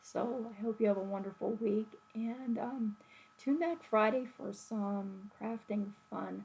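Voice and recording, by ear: A woman speaks at a fairly slow pace, her pitch medium with ordinary variation. Her tone is slightly mellow, with vocal fry and a slightly husky edge.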